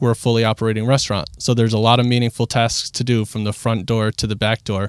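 On a very clean recording with a silent background, a man with an ordinary speaking voice and medium pitch talks at a fairly quick pace. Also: dry, close sound with no echo. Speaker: executive director of a community cafe. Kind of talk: casual interview. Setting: studio.

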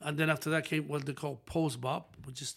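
A man with a Spanish accent talks at a moderate pace and a fairly high pitch. The recording is very clean, with a silent background. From Dominican Republic, northwest near Haitian border. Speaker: saxophonist and music producer. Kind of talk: casual interview.

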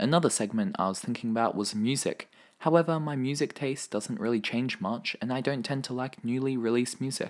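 With an Australian accent and a medium pitch, a man talks at a fairly quick pace with lively intonation and hardly any pauses, on a very clean recording with a silent background. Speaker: podcast host. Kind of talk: solo podcast monologue. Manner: casual, chatty.

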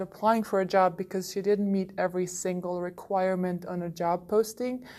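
At a fairly quick pace, a woman speaks at medium pitch in an ordinary speaking voice. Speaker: learning designer. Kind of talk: recorded personal reflection.

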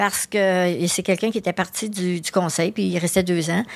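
Monotone, flat intonation from a woman at a moderate pace in a very clean recording with a silent background. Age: 60s. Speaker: magazine editor and association executive. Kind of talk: interview. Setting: studio.

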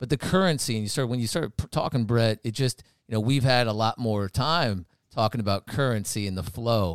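A man's medium-pitched, unremarkable speaking voice with ordinary pitch variation, at a fairly quick pace, in a very clean recording with a silent background. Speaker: podcast host. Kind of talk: casual chat.

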